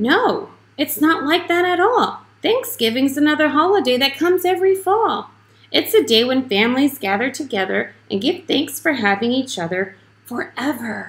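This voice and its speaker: A woman puts on a character voice, pitched high with very wide pitch swings. Her tone is warm. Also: moderate pace. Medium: read story. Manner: warm, reassuring.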